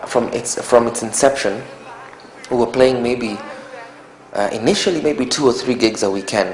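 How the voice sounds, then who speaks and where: Amid noticeable background noise and audible room echo, a man with a Kenyan accent talks at a fairly quick pace with fairly even intonation. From Kenya, Nairobi. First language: Kikuyu. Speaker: musician. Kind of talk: interview. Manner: halting, with many repetitions and fillers.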